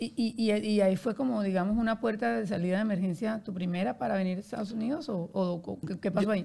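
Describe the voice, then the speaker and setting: A woman talks very fast at a medium pitch with ordinary pitch variation, her voice somewhat breathy with a dark, mellow tone. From Colombia, Barranquilla. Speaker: podcast host and publicist. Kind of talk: interview.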